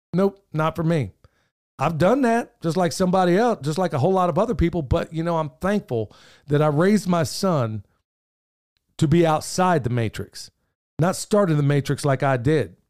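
In a very clean recording with a silent background, a man with a fairly high pitch speaks at a moderate pace with lively intonation in an unremarkable speaking voice. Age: 50s. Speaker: podcast host, permaculture homesteader. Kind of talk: casual chat.

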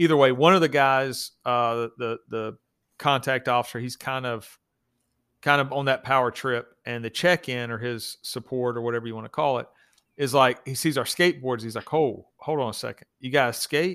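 In a very clean recording with a silent background, a man with an American accent speaks at a moderate pace. His medium-pitched voice is bright and sharp in tone, with ordinary pitch variation. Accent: Southern US, twangy, toned down for the show. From US South. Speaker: police officer. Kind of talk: casual chat. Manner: storytelling, a bit silly.

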